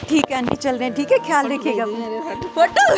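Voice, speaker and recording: Through noticeable background noise, a woman speaks at a moderate pace and a high pitch with lively intonation. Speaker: travel vlogger. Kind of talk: casual chat. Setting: outdoors.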